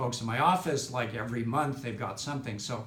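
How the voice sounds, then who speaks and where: A man at a medium pitch and moderate pace, with ordinary pitch variation and audible room echo. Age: 60s. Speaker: chiropractic patient. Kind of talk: testimonial interview. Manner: halting, many fillers.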